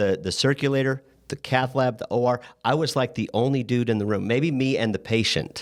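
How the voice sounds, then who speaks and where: A man with a plain, everyday voice at a medium pitch, ordinary pitch variation and a moderate pace, in a very clean recording with a silent background. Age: 60s. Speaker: medical device sales rep and podcast host. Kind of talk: casual chat.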